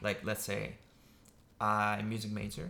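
The voice has vocal fry and a bright, sharp tone. It moves at a fairly slow pace with monotone, flat intonation.

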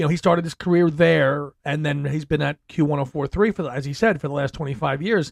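A very fast man with a New York accent, fairly high in pitch, with ordinary pitch variation, hardly any pauses and a dry, close sound with no echo. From New York City. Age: 40s. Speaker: podcast host. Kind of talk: casual chat.

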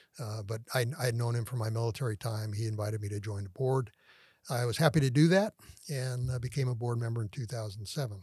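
A man speaks very fast in a somewhat breathy, medium-pitched voice with ordinary pitch variation. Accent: American. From San Francisco Bay Area, California. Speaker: retired air force colonel. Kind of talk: interview.

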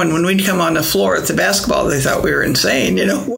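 There is noticeable background noise here. A woman talks with an American accent. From US Midwest, Springfield, Illinois. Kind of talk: interview. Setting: convent.

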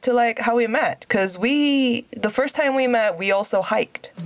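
The woman talks at a fairly slow pace with lively intonation. Her sound is dry and close with no echo, though background noise is noticeable. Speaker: podcast host. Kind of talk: casual interview chat. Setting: remote call, host living in Korea.

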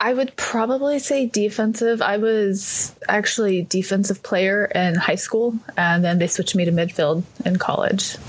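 In an unremarkable speaking voice, a woman with an American accent talks at a moderate pace and medium pitch, with ordinary pitch variation, very even loudness and hardly any pauses. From East Texas. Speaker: youth triathlon coach. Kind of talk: casual interview.

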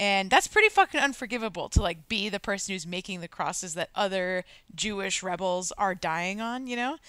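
A woman speaks at a fairly quick pace in a medium pitch with ordinary pitch variation, her tone animated, bright and sharp, on a very clean recording with a silent background and a dry, close sound with no echo. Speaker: podcast co-host. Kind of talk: casual chat, movie discussion. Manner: animated, excitable.

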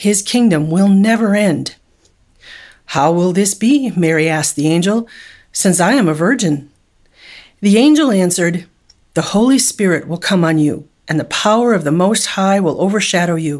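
A woman speaks at a moderate pace and medium pitch with lively intonation and long, frequent pauses, recorded very cleanly against a silent background. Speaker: Bible study leader reading scripture. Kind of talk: scripture reading, then a short meditation and prayer. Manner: measured, reverent reading.

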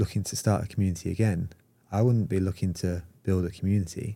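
Speech in a British accent runs at a very fast pace in a dark, mellow tone. Intonation is fairly even, and the recording is very clean with a silent background. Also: man. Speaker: community founder and marketer. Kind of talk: casual podcast interview.

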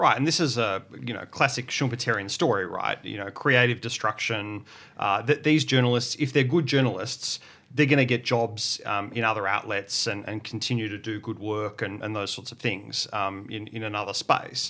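A man with an Australian accent, medium pitch and a bright, sharp tone, at a moderate pace with ordinary pitch variation and big swings in loudness, on a very clean recording with a silent background. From Victoria, Australia (Portland). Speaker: academic. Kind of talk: panel discussion.

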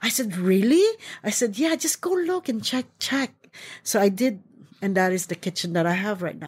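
Recorded very cleanly over a silent background, a woman speaks at a moderate pace in a somewhat breathy, medium-pitched voice. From Philippines. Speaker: chef and caterer. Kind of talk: interview.

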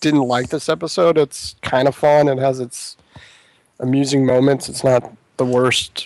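A man speaks at a medium pitch with fairly even intonation. It is an ordinary speaking voice. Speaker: podcast co-host. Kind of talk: casual podcast discussion.

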